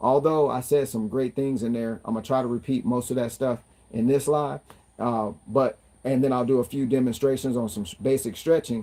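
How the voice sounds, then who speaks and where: A man talks at a fairly quick pace with a dark, mellow tone. His pitch is medium and his intonation fairly even. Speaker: fitness vlogger. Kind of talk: casual livestream talk. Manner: fast.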